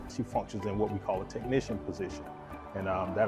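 Clear music plays behind a man as he talks. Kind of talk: interview answer. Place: garage.

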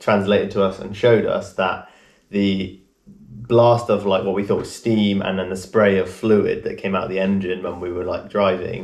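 The man's voice sits fairly low, with monotone, flat intonation at a moderate pace. The background is quiet, though audible room echo is present. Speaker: travel vlogger. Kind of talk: casual vlog chat. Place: home room. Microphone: camera far.

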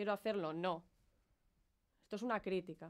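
Against a silent background in a very clean recording, a woman with a Spanish accent speaks at medium pitch with fairly even intonation. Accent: Peninsular Spanish. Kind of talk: performance monologue, protest speech.

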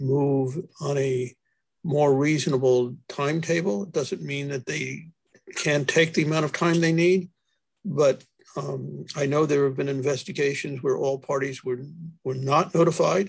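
A man talks at a moderate pace with ordinary pitch variation. His voice is somewhat breathy against a quiet background. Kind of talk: meeting discussion. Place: home room. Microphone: video call.

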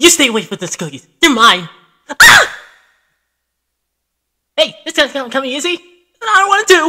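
In a put-on character voice with a high pitch and very wide pitch swings, the speaker goes at a moderate pace with long, frequent pauses.

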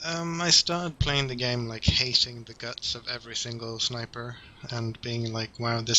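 A man with a British accent speaks quietly at a fairly slow pace and a medium pitch. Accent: British-sounding English. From Sweden. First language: Swedish. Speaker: esports player. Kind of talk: podcast interview. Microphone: video call.

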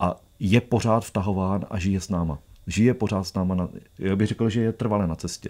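Against a quiet background, a man's fairly low, dark, mellow voice moves at a fairly quick pace with fairly even intonation. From Czech Republic. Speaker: documentary filmmaker and traveller; guest. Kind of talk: radio interview. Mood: warm, reminiscent. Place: studio. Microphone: studio mic.

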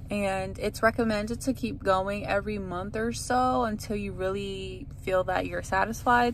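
A woman at a moderate pace, dry sound with no echo, light background noise. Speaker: vlogger. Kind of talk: casual vlog chat. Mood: upbeat, pleased. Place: car. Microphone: phone near.

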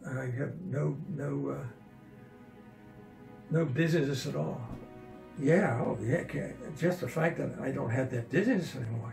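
A man's voice with ordinary pitch variation and long, frequent pauses, with audible room echo and clear music in the background. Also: fairly slow pace. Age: 80s+. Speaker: patient describing vertigo recovery. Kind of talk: interview answer.

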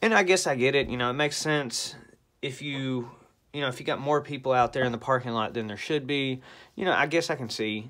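A man with ordinary pitch variation talks at a fairly quick pace, the background quiet. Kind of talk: casual vlog rant. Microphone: phone near.

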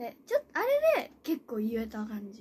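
A woman speaks over light background noise. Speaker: idol trainee live streamer. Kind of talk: casual live stream chat. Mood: cheerful, recalling nervous debut. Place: home room. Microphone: phone near.

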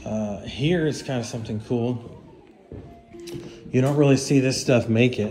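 With ordinary pitch variation and a moderate pace, a man talks while faint music sounds in the background. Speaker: property owner host. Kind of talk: casual property tour commentary. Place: home room. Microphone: phone near.

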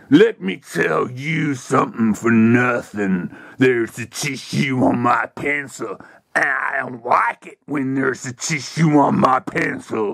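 A man's cartoonish character voice at a fairly slow pace. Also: medium pitch for a man. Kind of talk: comic overacting. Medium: puppet show. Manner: blustering, threatening wrestling-promo swagger.

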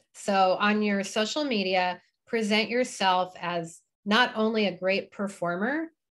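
A woman's normal speaking voice, medium in pitch, with ordinary pitch variation. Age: 50s. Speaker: retired burlesque performer and teacher. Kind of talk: online presentation with Q&A. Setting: video call from her kitchen.

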